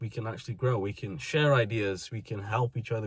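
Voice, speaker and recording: Somewhat breathy speech at a moderate pace on a very clean recording with a silent background. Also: man. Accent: British. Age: 20s. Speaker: vlogger. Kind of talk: personal monologue.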